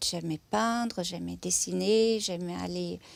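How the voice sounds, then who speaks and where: Speaking very slowly, a woman talks with a German accent. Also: very clean recording, silent background. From southern Germany, near Stuttgart. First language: German (speaking French). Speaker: museum lecturer. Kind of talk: interview testimony. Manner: hesitant, many filler sounds.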